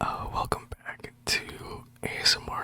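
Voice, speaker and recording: Whispering at a very slow pace, a man speaks against noticeable background noise. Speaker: ASMR storyteller. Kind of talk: casual talk to camera. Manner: whispered.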